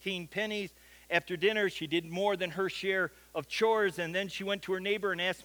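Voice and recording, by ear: Someone reading aloud in a natural voice, with fairly even intonation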